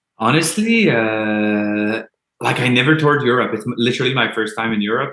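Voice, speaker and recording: In a Quebec accent, a man with a fairly low voice speaks at a moderate pace with fairly even intonation. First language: French. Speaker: metal band musician. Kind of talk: casual interview chat.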